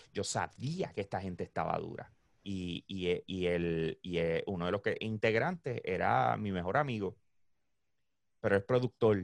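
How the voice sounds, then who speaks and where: Pitch varies in an ordinary way, and the sound is dry and close with no echo against a quiet background. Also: man. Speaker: esports and gaming event organizer. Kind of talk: casual chat.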